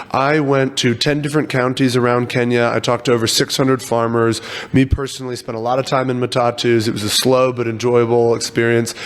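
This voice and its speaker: A man speaks at a medium pitch and a very fast pace, with hardly any pauses. His delivery is monotone and flat, and there is noticeable background noise. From US, Virginia. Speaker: agritech startup founder. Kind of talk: interview.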